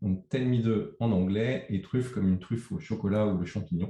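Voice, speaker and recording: Somewhat breathy, a man talks at a fairly slow pace, his pitch fairly low with ordinary variation. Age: 50s. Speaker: agency co-founder. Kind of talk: interview. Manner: hesitant.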